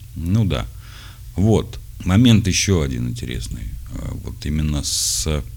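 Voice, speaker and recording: A man with a very deep, low voice speaks very slowly with long, frequent pauses and very wide pitch swings, amid noticeable background noise and audible room echo. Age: 40s. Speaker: podcaster addressing his son. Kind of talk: audio letter to his son, reading and explaining.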